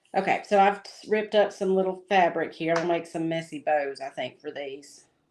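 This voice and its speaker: Set against a quiet background, the voice has a Southern US accent and ordinary pitch variation. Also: woman, fairly low pitch for a woman, moderate pace, big swings in loudness. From US South. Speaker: crafter and livestream host. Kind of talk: casual chat while crafting. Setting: livestream. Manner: relaxed, laid-back.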